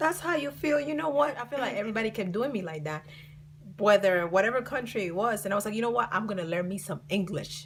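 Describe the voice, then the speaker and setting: A woman with a Colombian accent, with noticeable background noise behind her. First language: Spanish. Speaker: vlogger. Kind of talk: storytime vlog. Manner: casual, filler-heavy.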